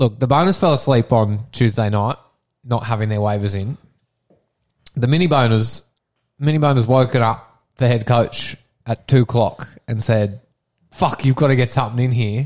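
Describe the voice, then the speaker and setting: A man talks at a moderate pace with an Australian accent, at a medium pitch. His pitch varies in an ordinary way, and he leaves long, frequent pauses. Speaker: podcast host. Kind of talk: casual chat. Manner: loud.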